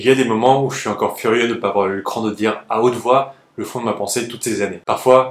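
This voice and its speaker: A man of medium pitch, with an unremarkable speaking voice, talks fairly quickly with fairly even intonation. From France, of Chinese descent. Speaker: YouTuber, former actor. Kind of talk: scripted narration.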